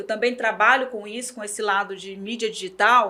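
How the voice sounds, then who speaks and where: At a moderate pace, a woman speaks in a fairly high, bright, sharp voice. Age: 40s. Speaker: journalist and digital media professional. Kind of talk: interview.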